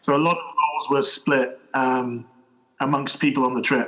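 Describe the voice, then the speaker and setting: A medium-pitched man's voice with a British accent. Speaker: fencing coach and referee. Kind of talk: podcast interview answer. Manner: casual, conversational.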